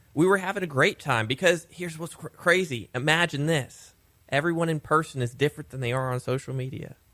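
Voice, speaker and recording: Bright and sharp in tone, a man talks at a fairly quick pace with a fairly high pitch and ordinary pitch variation. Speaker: city communications director. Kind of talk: casual radio chat. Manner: shifts voice with listener or topic.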